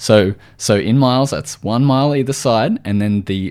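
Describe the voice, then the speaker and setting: A man talks at a fairly slow pace with an Australian accent. His medium pitch carries lively intonation. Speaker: podcast host and nutritional therapist. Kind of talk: solo educational talk. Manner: casual with frequent fillers.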